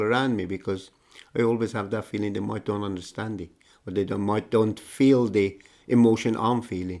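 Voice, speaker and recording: A man with an Iranian accent talks at a moderate pace. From Iran (Tehran). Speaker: migrant telling life story. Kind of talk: personal testimony. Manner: halting, with repetitions.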